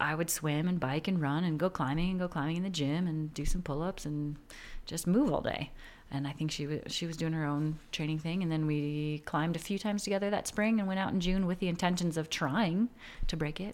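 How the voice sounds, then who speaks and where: A woman's unremarkable speaking voice with an American accent, fairly low in pitch, at a fairly quick pace with ordinary pitch variation, in a very clean recording over a silent background. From Minnesota, Twin Cities suburbs. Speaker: professional climber, former climbing ranger. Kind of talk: casual interview. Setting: at her home.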